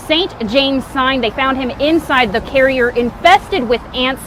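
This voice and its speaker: A woman's high voice with ordinary pitch variation at a moderate pace, amid noticeable background noise. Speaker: TV news anchor and reporter. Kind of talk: TV news field report. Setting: outdoors.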